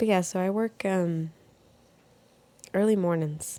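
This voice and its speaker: A soft-spoken woman talks at a fairly slow pace with a dark, mellow tone. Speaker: podcast host. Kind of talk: casual chat. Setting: at home in bed, window open.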